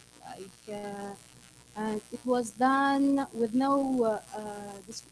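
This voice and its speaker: Light background noise underlies a woman's voice with ordinary pitch variation. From Tunisia. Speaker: security activist. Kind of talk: panel discussion. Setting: stage with audience. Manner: halting. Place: hall.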